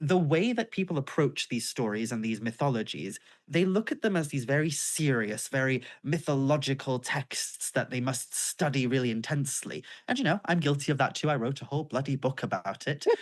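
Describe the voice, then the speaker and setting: Against a quiet background, a woman with a North Welsh accent speaks at a very deep, low pitch with lively intonation. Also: fairly quick pace. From North Wales, Isle of Anglesey. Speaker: author and pagan witch. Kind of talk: interview conversation.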